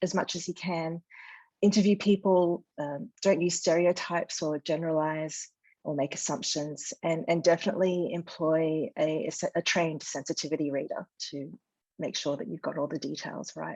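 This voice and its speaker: In an Australian accent, a woman speaks at a fairly low pitch and a moderate pace, with ordinary pitch variation against a quiet background. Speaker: novelist. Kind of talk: interview. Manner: hesitant, many fillers.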